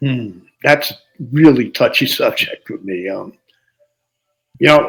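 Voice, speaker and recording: A man speaks with a New Jersey accent and lively intonation. His pace is fairly slow. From New Jersey, Jersey City. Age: 70s. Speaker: musician. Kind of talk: interview.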